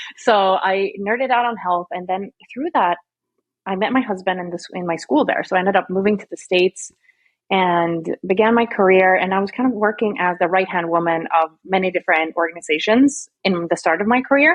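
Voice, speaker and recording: This woman has a slight Swedish accent. She speaks at a fairly quick pace. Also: medium pitch for a woman, ordinary pitch variation. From Sweden. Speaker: marketing strategist. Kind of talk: podcast interview. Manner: casual, chatty.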